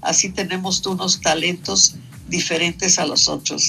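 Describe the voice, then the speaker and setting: Music in the background behind a woman's fairly slow delivery. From Mexico City. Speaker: painter and sculptor. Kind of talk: radio interview. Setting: phone call.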